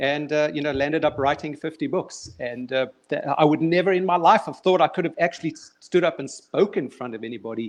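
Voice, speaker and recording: With a South African accent, the speaker talks at a fairly quick clip with hardly any pauses, big swings in loudness and ordinary pitch variation over a quiet background. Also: man, fairly high pitch for a man. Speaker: children's author and motivational speaker. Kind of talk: casual interview. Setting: online live stream. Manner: halting.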